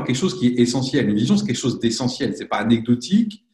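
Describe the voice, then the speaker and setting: Speaking at a very fast pace, a man uses a medium pitch with a dark, mellow, somewhat breathy tone. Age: 40s. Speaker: professional coach and consultant. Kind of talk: interview.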